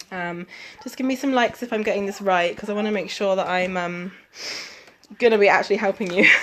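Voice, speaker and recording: Talking at a very fast pace with long, frequent pauses, a woman with an English accent uses a medium pitch and ordinary pitch variation. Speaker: fitness coach. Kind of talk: live stream chat. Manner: casual, many fillers.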